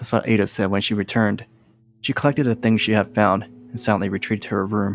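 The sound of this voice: A man speaks at a fairly quick pace with vocal fry. His pitch is fairly low and moves very little.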